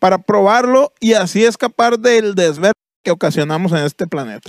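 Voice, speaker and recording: A man's high voice at a fairly quick pace, with ordinary pitch variation and a dry, close sound free of echo. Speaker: comedy podcast co-host. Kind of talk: casual comedic banter; reading aloud.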